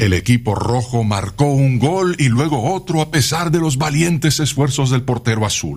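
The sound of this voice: Someone reads aloud. The voice sounds unforced.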